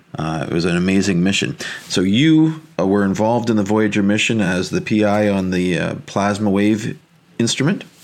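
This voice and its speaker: Speaking at a moderate pace with ordinary pitch variation, a man has a plain, everyday voice at a fairly low pitch. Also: very even loudness. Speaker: podcast host. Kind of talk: interview.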